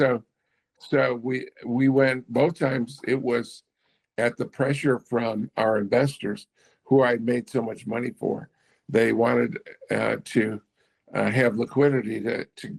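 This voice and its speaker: Vocal fry marks a man's fairly slow speech, captured with a dry, close sound and no echo. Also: medium pitch for a man, fairly even intonation. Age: 70s. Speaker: entrepreneur. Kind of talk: interview. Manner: halting.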